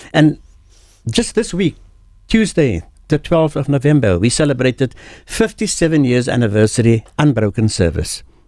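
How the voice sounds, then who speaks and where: Speaking at a moderate pace with long, frequent pauses, a man with a dark, mellow tone and a fairly high pitch uses vocal fry and very wide pitch swings while keeping very even loudness. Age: 70s. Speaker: veteran entertainer. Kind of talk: interview.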